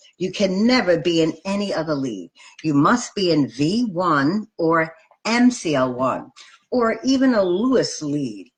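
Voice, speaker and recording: A woman speaks in a fairly low pitch with very wide pitch swings. Her voice is somewhat breathy. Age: 60s. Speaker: nurse educator. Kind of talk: lecture. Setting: live video stream.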